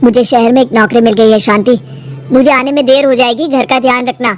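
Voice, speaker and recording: A woman puts on a cartoonish character voice, high-pitched and fairly quick. Clear music plays in the background. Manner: harsh, bullying.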